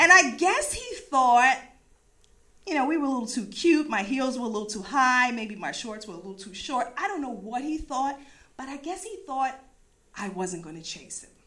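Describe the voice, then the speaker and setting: A woman's raised, projected voice with an American accent, high in pitch and bright and sharp in tone, animated, with very wide pitch swings, big swings in loudness and a moderate pace. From US East Coast. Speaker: storyteller. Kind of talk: live storytelling.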